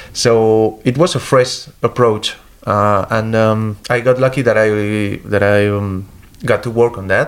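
Speaking at a very slow pace with a Spanish accent, a man holds a medium pitch and fairly even intonation. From Spain. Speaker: comic book artist. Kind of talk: interview. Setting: comics festival. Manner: halting.

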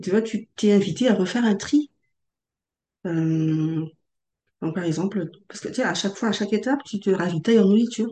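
A woman with a medium-pitched, dark, mellow voice speaks fairly quickly with ordinary pitch variation and long, frequent pauses. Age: 30s. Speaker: transformation facilitator. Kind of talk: podcast interview. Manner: halting.

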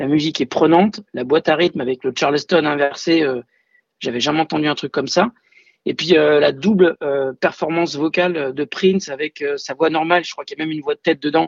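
A man's fairly quick, fairly high-pitched delivery in an ordinary speaking voice, with fairly even intonation. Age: 40s. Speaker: music fan. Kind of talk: testimony.

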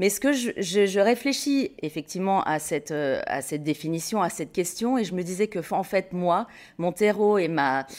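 A woman speaks at a medium pitch with lively intonation. The recording is very clean and the background silent. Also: moderate pace. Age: 50s. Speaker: textile business co-founder. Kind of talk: interview conversation. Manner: hesitant, with frequent repetitions.

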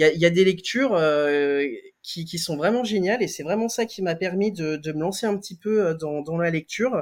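Here a man speaks at a moderate pace. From France, Lyon region. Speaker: comic book author and drawing teacher. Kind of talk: interview testimony. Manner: hesitant, frequent fillers and repeated words.

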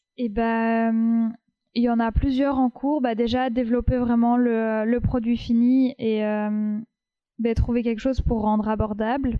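Flat, monotone intonation marks this woman's speech. Her pitch is fairly high and her pace fairly slow. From France, Paris. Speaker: textile designer and wool artisan. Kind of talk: casual interview. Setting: her workshop.

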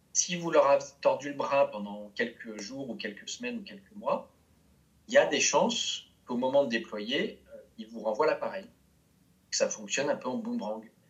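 Speech at a moderate pace with big swings in loudness over noticeable background noise. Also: man. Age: 50s. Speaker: change management consultant and coach. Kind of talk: interview. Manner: hesitant, with frequent fillers.

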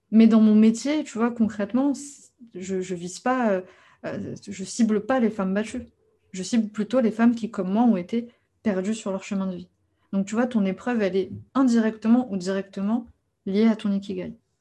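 Somewhat breathy and dark, mellow in tone, a woman's fairly high voice carries fairly even intonation, broken by long, frequent pauses against a quiet background. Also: moderate pace. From France. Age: 30s. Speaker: life coach. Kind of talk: interview.

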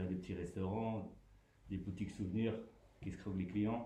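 Fairly low in pitch and somewhat breathy, the man's voice keeps a fairly even intonation. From Grenoble, France. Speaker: community radio participant. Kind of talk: casual interview. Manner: halting.

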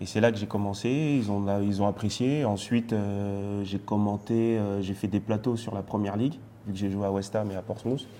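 A man's dark, mellow tone comes through at a fairly low pitch, with fairly even intonation and a moderate pace. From France. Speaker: retired footballer and TV pundit. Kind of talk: casual interview.

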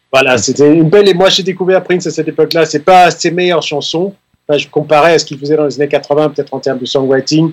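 A man talks at a very fast pace, his fairly high pitch held in fairly even intonation. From Denmark. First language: Danish (speaking French). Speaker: keyboard player. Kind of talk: radio interview. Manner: halting.

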